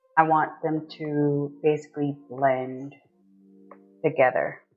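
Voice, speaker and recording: A woman with a very deep, low pitch at a very slow pace, music in the background. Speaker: DIY painting creator. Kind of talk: tutorial. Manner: casual, thinking aloud.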